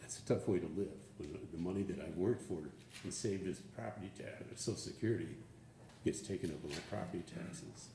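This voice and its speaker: Very deep and low in pitch, a man's voice with a dark, mellow tone and vocal fry moves at a very fast pace. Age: 70s. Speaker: public commenter, retiree. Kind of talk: public comment at government meeting. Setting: county board meeting. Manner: halting.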